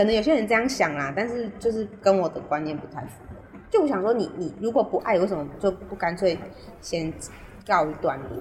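The voice moves at a fairly quick pace with big swings in loudness. Noticeable background noise is present. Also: woman, medium pitch for a woman, lively intonation. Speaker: podcast co-host. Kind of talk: casual chat. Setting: remote recording. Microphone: poor remote audio quality.

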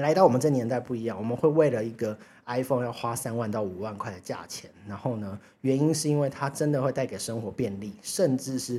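A man speaks at a fairly quick pace in a dark, mellow tone, his medium pitch showing ordinary variation. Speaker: finance podcast host. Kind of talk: solo casual podcast talk. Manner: chatty, many fillers.

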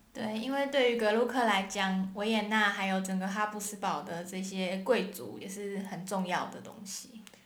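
Her pitch medium and intonation fairly even, a woman speaks at a moderate pace with hardly any pauses and big swings in loudness, amid noticeable background noise. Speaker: podcast co-host. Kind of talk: casual educational chat.

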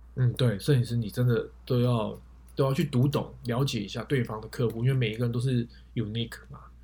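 A dark, mellow, somewhat breathy voice at a fairly quick pace, with fairly even intonation. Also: man, medium pitch for a man. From Taiwan, Taipei. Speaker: photographer with side business. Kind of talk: casual interview.

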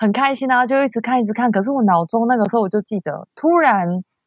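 A woman with a fairly high voice talks at a fairly quick pace, the sound dry and close with no echo. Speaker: traveler. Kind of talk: casual chat.

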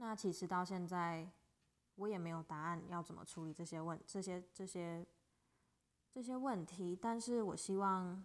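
A woman with a Taiwanese accent and ordinary pitch variation. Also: medium pitch for a woman, fairly slow pace. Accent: Taiwanese Mandarin. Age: 20s. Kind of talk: solo podcast monologue. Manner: casual.

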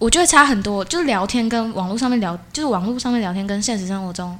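Audible room echo around a woman talking at a fairly quick pace. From Taiwan, Changhua. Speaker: university student. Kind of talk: casual interview.

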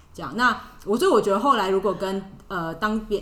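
Audible room echo surrounds a voice with lively intonation. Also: woman. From Taiwan. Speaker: expat office worker. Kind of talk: podcast interview.

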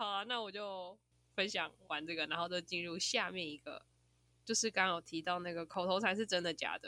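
A woman at a medium pitch speaks fairly quickly with a bright, sharp tone and fairly even intonation on a very clean recording with a silent background. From Taiwan, Taichung. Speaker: podcast host. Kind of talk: casual chat.

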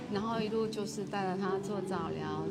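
Noticeable background noise beneath a woman's medium-pitched voice. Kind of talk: interview testimony. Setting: event venue.

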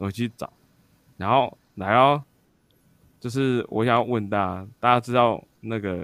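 Speaking at a fairly slow pace and a medium pitch, a man leaves long, frequent pauses. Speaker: podcast co-host. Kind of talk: casual chat. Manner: animated, excited.

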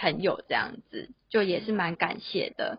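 A woman talks at a fairly slow pace in a normal speaking voice. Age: 20s. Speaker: office worker and illustrator. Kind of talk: casual interview.

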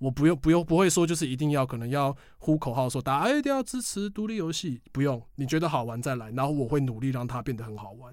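Lively intonation runs at a very fast pace with hardly any pauses. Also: man, fairly high pitch for a man. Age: 20s. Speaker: game expo organizer. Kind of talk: interview. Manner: loud. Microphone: professional microphone.

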